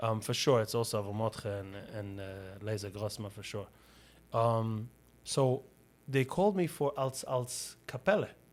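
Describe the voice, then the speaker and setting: At a moderate pace with ordinary pitch variation, the speaker leaves long, frequent pauses in a very clean recording with a silent background. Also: man, medium pitch for a man. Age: 30s. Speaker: podcast host. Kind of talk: casual chat. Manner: halting.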